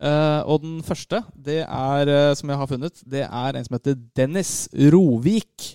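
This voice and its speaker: A man with a fairly high pitch speaks very slowly with ordinary pitch variation, recorded dry and close with no echo, very clean, against a silent background. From Norway, Lørenskog (east of Oslo). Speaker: podcast co-host. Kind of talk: casual chat.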